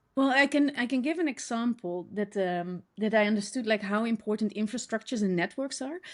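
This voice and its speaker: A woman with a Dutch accent, fairly high pitched, at a fairly quick pace with hardly any pauses and ordinary pitch variation. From Netherlands. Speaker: designer and educator. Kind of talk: podcast interview. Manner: halting, many fillers.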